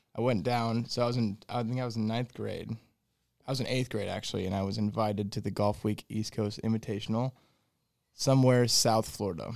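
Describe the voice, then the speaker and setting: With an American accent, a man speaks at a medium pitch with fairly even intonation and a fairly quick pace. Long, frequent pauses break up his speech on a very clean recording with a silent background. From Fort Wayne, Indiana. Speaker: golf instructor. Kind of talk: casual chat.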